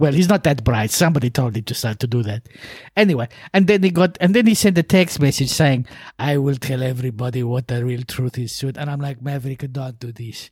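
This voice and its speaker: A somewhat breathy, medium-pitched man's voice, fairly quick, with lively intonation. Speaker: motorcycle racing podcast co-host. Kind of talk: casual chat.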